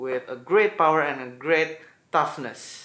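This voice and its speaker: A man speaks with an Indonesian accent. His tone is bright and sharp. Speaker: gaming YouTuber. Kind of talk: video intro.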